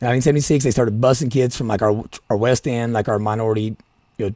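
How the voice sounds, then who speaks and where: Speaking at a very fast pace, a man with an Appalachian accent keeps a medium pitch and fairly even intonation. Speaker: political podcaster. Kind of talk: solo podcast commentary. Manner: halting, many restarts.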